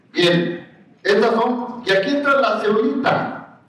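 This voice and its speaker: Amid noticeable background noise and audible room echo, a man speaks at a fairly slow pace with lively intonation. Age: 60s. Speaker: agronomist lecturer. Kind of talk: lecture.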